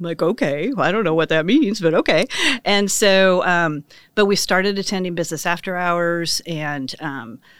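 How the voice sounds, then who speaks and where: With a Midwestern American accent, a woman speaks at a moderate pace in a fairly low pitch with ordinary pitch variation on a very clean recording with a silent background. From western Kansas. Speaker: business owner. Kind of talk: casual interview.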